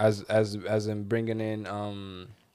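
The speaker is a man with a Venezuelan accent. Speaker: podcast co-host. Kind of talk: casual chat.

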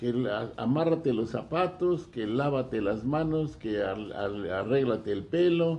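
Hardly pausing, a man speaks at a fairly slow pace with a dark, mellow tone. His pitch is medium and his intonation lively. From Mexico, Guanajuato. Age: 80s+. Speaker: retiree and former academic administrator. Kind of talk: casual interview. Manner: formal.

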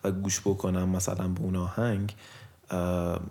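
Very deep, low male voice over noticeable background noise. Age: 20s. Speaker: podcast co-host and musician. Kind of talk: casual chat.

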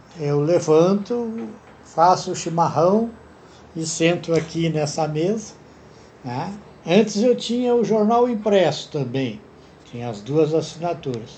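Room echo is audible as a man speaks in a high pitch with lively intonation. He talks at a very slow pace with long, frequent pauses. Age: 80s+. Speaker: retiree. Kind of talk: interview answers.

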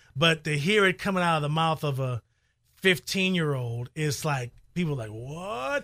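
In a very clean recording with a silent background, a man with an American accent speaks at a fairly high pitch with a bright, sharp tone. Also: ordinary pitch variation, moderate pace. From Chicago. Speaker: radio broadcaster. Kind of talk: casual interview. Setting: studio.

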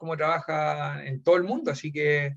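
A man's somewhat breathy voice sits fairly high, and his intonation stays fairly even. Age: 40s. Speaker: former footballer and football coach. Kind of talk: interview. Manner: halting.

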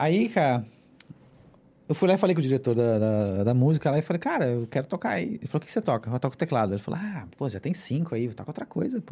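Very fast and somewhat breathy, a man's dark, mellow voice sits fairly high in pitch and swings very widely up and down. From southern Brazil (Rio Grande do Sul), then Mexico from 14. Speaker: musician and cultural producer. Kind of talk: casual interview chat.

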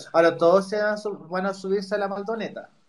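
Here a man speaks at a fairly quick pace. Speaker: podcast host. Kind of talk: casual chat. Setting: Twitter Spaces audio room.

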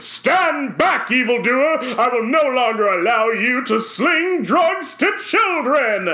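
A man puts on a character voice, raised and projected, at an extremely high pitch. His pace is fairly slow. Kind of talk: old-time radio drama. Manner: heroic, declamatory.

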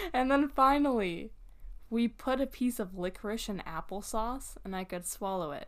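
Here is an unremarkable speaking voice from a woman, pitched fairly high. She keeps a moderate pace with lively intonation. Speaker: podcast co-host. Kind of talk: casual chat.

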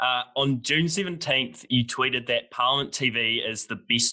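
A man with a New Zealand accent, bright and sharp in tone, at a fairly slow pace with ordinary pitch variation. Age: young. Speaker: student podcast host. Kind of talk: interview.

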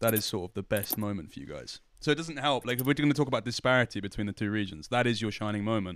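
A man with a London accent talks at a very fast pace with hardly any pauses. His voice sits at a medium pitch with lively intonation. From London, Hackney. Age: 20s. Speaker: esports interviewer. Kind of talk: casual chat. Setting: hotel room.

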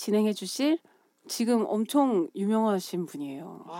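A woman's fairly high voice with lively intonation at a fairly slow pace. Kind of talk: casual chat. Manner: trying to speak in a prettier tone.

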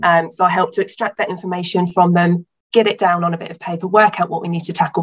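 A woman talks very fast with a southern English accent. Her pitch sits fairly low, and her voice is somewhat breathy. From southern England, Hampshire. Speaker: small business owner. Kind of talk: casual interview.

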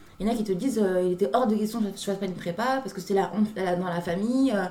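A woman speaks at a very fast pace with a medium pitch and ordinary pitch variation. Noticeable background noise runs beneath her voice. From Paris suburbs, France (Clamart). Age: 20s. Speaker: graduate student. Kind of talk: casual chat.

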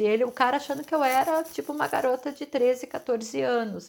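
A woman talks at a moderate pace with fairly high pitch. Hers is a normal speaking voice, with ordinary pitch variation. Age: 40s. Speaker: podcast host, holistic therapist. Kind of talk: reflective monologue.

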